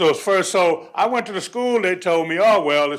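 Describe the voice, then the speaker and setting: A high-pitched man speaks at a moderate pace on a very clean recording with a silent background. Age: 60s. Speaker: grandparent speaking at public comment. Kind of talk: public comment at school board meeting. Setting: school board meeting.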